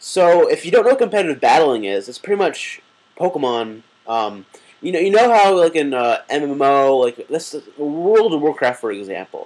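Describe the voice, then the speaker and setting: A man talks at a moderate pace in a fairly high pitch, his voice making very wide pitch swings. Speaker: gaming video creator. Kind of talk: casual vlog monologue. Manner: halting, stuttering; many filler words.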